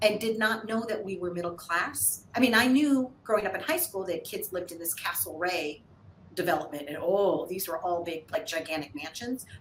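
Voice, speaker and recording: A woman with an American accent speaks in an animated tone at medium pitch and a moderate pace, with lively intonation and big swings in loudness. Noticeable background noise is present. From US Midwest, St. Louis, Missouri. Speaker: TV show host and producer. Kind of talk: interview.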